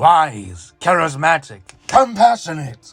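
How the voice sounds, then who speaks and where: A man performs a put-on character voice at a fairly slow pace. Faint music plays in the background. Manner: mocking, sardonic.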